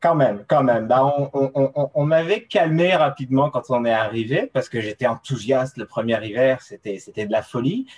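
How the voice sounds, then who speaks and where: A somewhat breathy male voice with ordinary pitch variation and hardly any pauses, in a dry, close sound with no echo. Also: medium pitch for a man, moderate pace. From France, coastal region. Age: 30s. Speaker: mountain runner and ski mountaineering athlete. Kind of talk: casual interview. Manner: halting, many fillers and repetitions.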